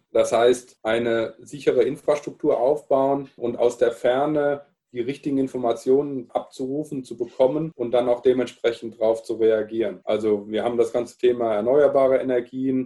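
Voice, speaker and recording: An unremarkable speaking voice from a man, medium in pitch, with fairly even intonation at a moderate pace. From Palatinate, Germany. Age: 40s. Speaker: sales and marketing manager. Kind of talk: casual interview chat.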